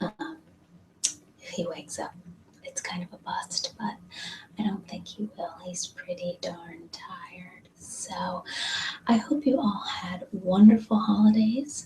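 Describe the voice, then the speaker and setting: A woman has a normal speaking voice with ordinary pitch variation. She talks at a fairly slow pace, with big swings in loudness. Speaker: ASMR creator. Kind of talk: ASMR personal attention and meditation. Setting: hotel bathroom. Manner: soft-spoken.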